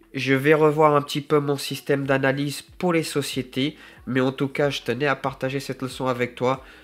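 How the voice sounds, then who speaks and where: Music plays in the background as a man with a fairly high pitch speaks at a moderate pace. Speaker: gardener and self-employed small business owner. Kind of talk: unscripted vlog monologue. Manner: halting, many fillers and self-corrections.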